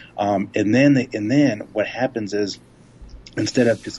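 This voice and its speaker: With an ordinary speaking voice, a man talks at a fairly slow pace with a fairly low pitch and fairly even intonation. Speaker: doctoral student, fitness writer. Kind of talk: casual chat.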